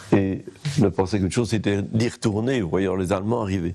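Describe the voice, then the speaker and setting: Noticeable background noise runs under a man whose intonation stays fairly even. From Belgium, Limbourg near Verviers (Liège province). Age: 80s+. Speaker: urban sociologist. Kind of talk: interview testimony. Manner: hesitant, many fillers and repetitions.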